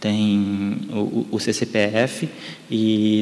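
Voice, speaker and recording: Fairly low male voice over noticeable background noise. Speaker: photo conservation specialist. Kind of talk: lecture. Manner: halting, many repetitions.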